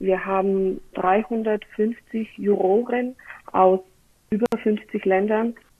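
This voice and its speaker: Words come out very slowly from this woman. Her fairly high voice holds a fairly level tone. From Bulgaria. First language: Bulgarian (speaking German). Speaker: wine competition press officer. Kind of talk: interview.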